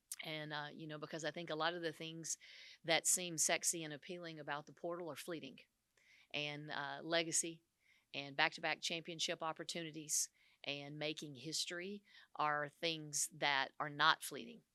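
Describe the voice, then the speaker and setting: A woman with a Southern US accent, very deep and low in pitch, with a bright, sharp tone, monotone flat delivery at a moderate pace, on a very clean recording with a silent background and a dry, close sound with no echo. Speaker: women's basketball head coach. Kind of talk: press conference. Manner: halting, many fillers.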